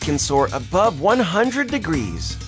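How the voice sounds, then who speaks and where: A man talks fairly slowly while music sounds in the background. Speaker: voice actor. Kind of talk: nature documentary narration.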